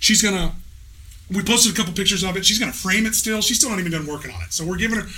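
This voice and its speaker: Using a raised, projected voice, a man speaks at a high pitch with fairly even intonation. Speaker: podcast host. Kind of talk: casual chat. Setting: studio.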